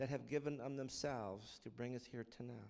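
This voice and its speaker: A man speaks in a normal speaking voice at a medium pitch. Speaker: church leader praying. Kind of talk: reading aloud then prayer. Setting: church.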